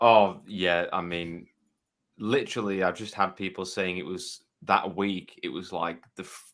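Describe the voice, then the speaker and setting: Speaking in a Yorkshire accent at a moderate pace, a man has a very deep, low pitch, a bright, sharp tone and fairly even intonation on a very clean recording with a silent background. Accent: Yorkshire, noticeable. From West Yorkshire, Leeds. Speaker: game developer. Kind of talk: interview.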